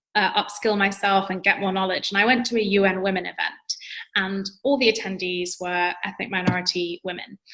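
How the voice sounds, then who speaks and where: A woman with a bright, sharp tone talks very fast in a flat monotone. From London, England. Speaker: entrepreneur and public speaking coach. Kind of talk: podcast interview. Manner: articulate, conversational with fillers.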